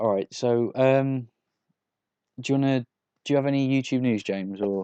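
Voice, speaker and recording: An English-accented man with a dark, mellow tone, fairly even intonation and a dry, close sound with no echo. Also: medium pitch for a man, moderate pace, very even loudness. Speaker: podcast host. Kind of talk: casual chat.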